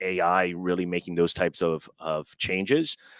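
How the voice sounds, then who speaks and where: A man's very deep, low voice at a fairly slow pace, dry and close with no echo. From Miami. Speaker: vocational training director. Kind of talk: interview.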